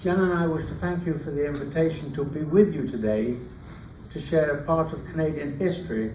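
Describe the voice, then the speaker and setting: The speaker has an English accent. Noticeable background noise and audible room echo fill the recording. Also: man. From England. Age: 90s. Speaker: retired teacher and author. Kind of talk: reading aloud. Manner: halting.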